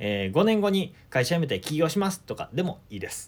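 The voice belongs to a man with a high pitch. His pitch swings very widely. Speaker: solo podcaster and life-planning consultant. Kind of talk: solo monologue talk.

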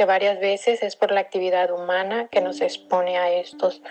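Medium in pitch for a woman, this is an ordinary speaking voice with fairly even intonation. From Mexico, Acapulco, Guerrero. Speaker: cultural manager and curator. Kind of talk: recorded personal reflection.

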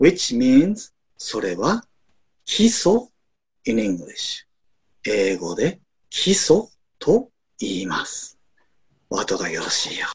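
A man with a fairly high voice talks very slowly with long, frequent pauses, very wide pitch swings, big swings in loudness and vocal fry. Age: 50s. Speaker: university English professor. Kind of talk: casual chat.

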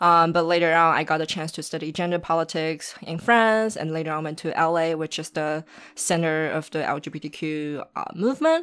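A fairly low-pitched woman's voice in a Chinese accent, at a moderate pace with hardly any pauses and fairly even intonation, on a very clean recording with a silent background. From Shanghai, China. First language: Mandarin Chinese. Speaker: documentary filmmaker and activist. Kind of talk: casual interview.

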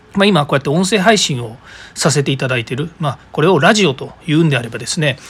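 A man with a fairly high pitch and lively intonation, against noticeable background noise. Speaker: podcast host. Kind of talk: solo podcast monologue. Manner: fast.

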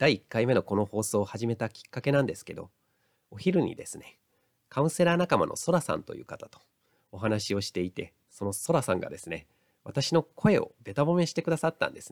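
With vocal fry and very wide pitch swings, a man talks at a fairly quick pace, his loudness swinging widely in a dry, close sound with no echo. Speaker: counselor and lecturer. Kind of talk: solo audio podcast monologue. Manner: occasionally stumbling over words.

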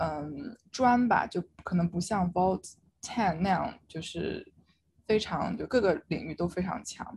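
Somewhat breathy and at a very slow pace, a woman speaks at medium pitch with ordinary pitch variation. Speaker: law student. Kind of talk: casual chat.

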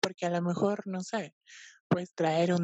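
This woman has a fairly low voice. Her intonation is flat and monotone. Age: 20s. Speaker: art historian and fashion stylist. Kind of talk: casual chat.

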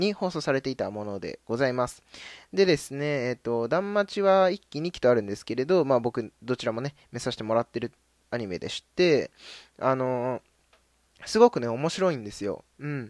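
Both pitch and loudness swing very widely. The recording is very clean, with a silent background. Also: man, medium pitch for a man, dry, close sound with no echo. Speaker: anime podcast host. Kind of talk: solo casual radio talk. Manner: fast.

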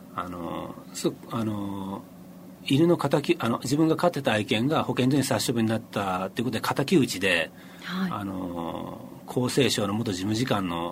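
Noticeable background noise surrounds a man speaking at a moderate pace. His fairly low pitch moves in very wide swings. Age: 50s. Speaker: freelance journalist. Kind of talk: interview. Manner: halting.

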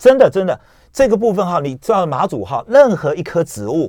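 Marked by vocal fry, this voice moves at a fairly quick pace through very wide pitch swings. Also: man. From Matsu (Beigan), moved to Taiwan at 11. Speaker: travel agency executive. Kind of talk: radio interview. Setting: radio studio.

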